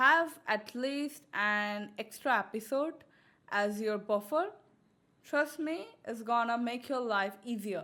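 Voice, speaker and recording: A woman speaks very slowly in a fairly high voice. Her tone is bright and sharp. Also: ordinary pitch variation. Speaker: webcomic artist. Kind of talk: tutorial. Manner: casual.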